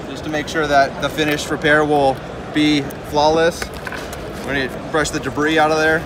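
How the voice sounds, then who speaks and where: A man speaks in a fairly high pitch at a moderate pace, with monotone, flat intonation. He pauses long and often over noticeable background noise. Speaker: glass repair tool company rep. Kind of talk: product demonstration. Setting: trade show floor. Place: hall. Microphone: phone near.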